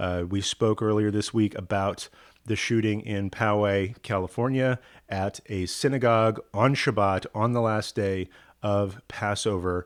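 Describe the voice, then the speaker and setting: In a very clean recording with a silent background, a man talks fairly slowly at a fairly low pitch with fairly even intonation. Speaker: rabbi. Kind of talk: casual video talk to viewers.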